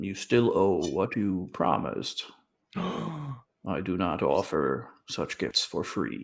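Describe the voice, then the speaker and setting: A put-on character voice from a man, fairly low in pitch and very slow in pace. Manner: stern, demanding.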